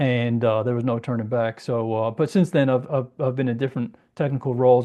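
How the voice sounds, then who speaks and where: The speaker is a man with a medium-pitched voice. He keeps his intonation fairly even. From England, moved to US as teen. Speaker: cybersecurity consultant and trainer. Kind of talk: technical presentation. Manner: casual, filler-heavy.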